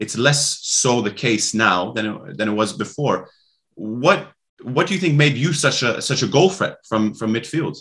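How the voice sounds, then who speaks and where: A man speaks at a moderate pace and a medium pitch with lively intonation. The background is quiet. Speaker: podcast host. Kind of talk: interview conversation. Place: home room. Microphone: video call.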